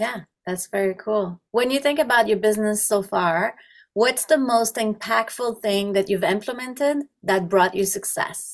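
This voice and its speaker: The speaker has a plain, everyday voice with ordinary pitch variation. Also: woman, fairly high pitch for a woman, moderate pace. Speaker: podcast host. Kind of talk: podcast interview.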